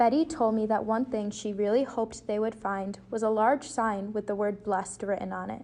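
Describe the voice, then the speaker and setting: Against a quiet background, a woman with a plain, everyday voice speaks at a fairly high pitch and a moderate pace with fairly even intonation. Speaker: student news reporter. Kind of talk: TV news package narration.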